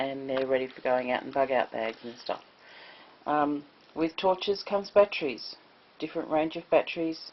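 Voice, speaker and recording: With big swings in loudness, a woman speaks in a very deep, low voice and an Australian accent. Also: ordinary pitch variation. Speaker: prepper. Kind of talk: casual talk to camera. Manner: slow.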